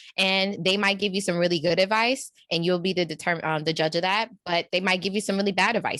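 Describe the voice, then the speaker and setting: A woman speaks with a New York accent at a fairly low pitch. Her pace is fairly quick against a quiet background. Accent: New York way of talking. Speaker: executive coach. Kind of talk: casual interview chat. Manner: animated, conversational.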